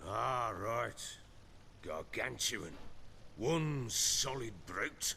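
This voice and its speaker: Using a raspy, put-on character voice at a medium pitch, a man speaks at a very slow pace with long, frequent pauses over clear background noise. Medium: video game. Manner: blunt, coarse.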